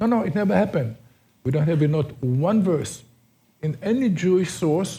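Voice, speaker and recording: A man with an Israeli accent speaks with lively intonation. His dark, mellow tone is somewhat breathy. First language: Hebrew. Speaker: tour guide. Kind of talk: guided tour talk. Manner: halting.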